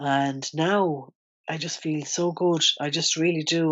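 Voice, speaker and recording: With an Irish accent, a woman speaks in a very deep, low pitch and ordinary pitch variation. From Ireland. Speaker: ex-smoker sharing her story. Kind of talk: interview testimony. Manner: animated.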